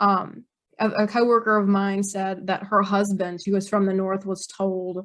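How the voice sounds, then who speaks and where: A woman speaks at a fairly slow pace with a Mississippi accent against a quiet background. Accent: Southern (Mississippi). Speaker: author. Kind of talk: interview conversation. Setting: podcast interview. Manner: casual with many fillers.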